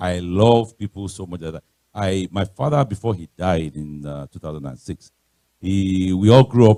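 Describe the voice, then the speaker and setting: Speaking with a Nigerian accent, a man with a very deep, low pitch and a dark, mellow tone keeps a moderate pace and ordinary pitch variation in a dry, close sound with no echo. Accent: Nigerian (Yoruba) English. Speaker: guest speaker, pastor. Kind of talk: sermon-style talk.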